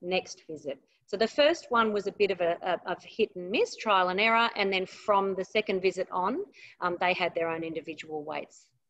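The background is quiet. A woman talks with ordinary pitch variation. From Australia. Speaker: aged care exercise researcher. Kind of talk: webinar presentation. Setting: online webinar.

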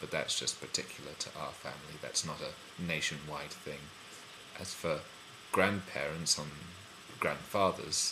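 A man in a London accent at a moderate pace, with long, frequent pauses and noticeable background noise. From London, England. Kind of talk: casual talk to camera.

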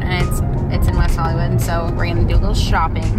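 Loud music plays in the background. A woman is speaking. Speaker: vlogger. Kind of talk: casual vlog chat. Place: car. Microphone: phone near.

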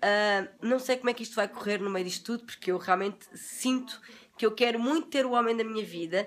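An animated woman's voice, fairly high in pitch, in a European Portuguese accent. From Portugal. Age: 40s. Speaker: beauty vlogger. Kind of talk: casual livestream chat; casual live stream chat. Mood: relaxed, confiding, sometimes laughing. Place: home room. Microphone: phone near.

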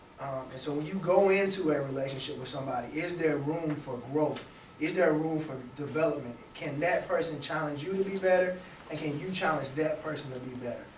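Against light background noise and audible room echo, a man with an American accent and fairly high pitch talks at a fairly quick pace with fairly even intonation. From US South. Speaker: youth club director. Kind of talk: panel discussion. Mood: calm, thoughtful. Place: classroom.

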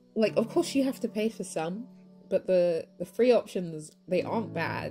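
With music in the background, a woman talks at a moderate pace using lively intonation. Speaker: digital artist. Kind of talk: speedpaint tutorial voiceover. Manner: casual, chatty.

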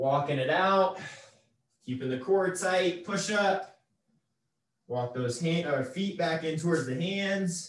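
A man with a high pitch and ordinary pitch variation speaks at a very slow pace, with long, frequent pauses and audible room echo. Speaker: fitness instructor. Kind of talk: workout instruction. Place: home room. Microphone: camera far.

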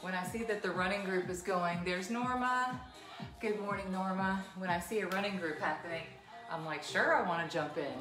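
A woman talks at a fairly quick pace with ordinary pitch variation. Music plays in the background. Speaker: fitness instructor. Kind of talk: live class instruction and chat. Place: home room. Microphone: camera far.

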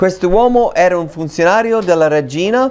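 This man speaks at a fairly slow pace. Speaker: pastor. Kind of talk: sermon. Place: church. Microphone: lapel.

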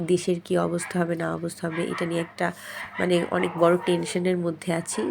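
A woman speaks with a fairly low pitch. Noticeable background noise can be heard. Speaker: vlogger, mother. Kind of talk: casual vlog narration. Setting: outdoors.

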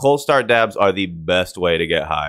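The man talks fairly quickly, and the background stays quiet. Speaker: streamer. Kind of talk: casual commentary. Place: home room. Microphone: studio mic.

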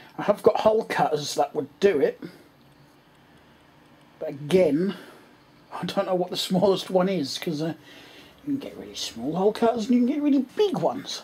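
The speaker talks at a fairly quick pace. Light background noise can be heard. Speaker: hobbyist vlogger. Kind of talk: casual vlog chat. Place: home room. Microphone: phone near.

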